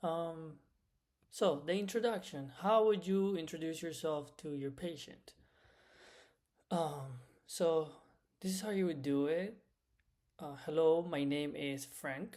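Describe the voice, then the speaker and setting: Speaking with a Spanish accent, a man goes at a very slow pace with long, frequent pauses. His pitch is fairly high and varies in an ordinary way. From Cuba. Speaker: medical Spanish instructor. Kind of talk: lecture. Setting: recorded lecture.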